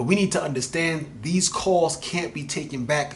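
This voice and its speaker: With ordinary pitch variation, the speech comes out somewhat breathy. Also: man. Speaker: spoken word poet. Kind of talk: spoken word poetry.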